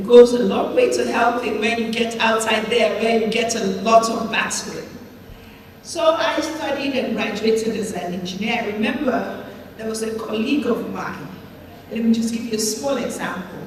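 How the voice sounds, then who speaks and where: A woman's fairly high, fairly even voice at a moderate pace, with audible room echo and noticeable background noise. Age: 70s. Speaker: senator. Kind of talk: interview.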